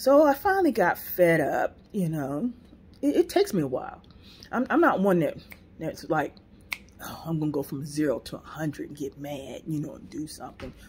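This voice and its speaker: A woman speaks at a moderate pace in an animated tone, her loudness swinging widely. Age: 60s. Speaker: landlord and video host. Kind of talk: casual storytelling monologue.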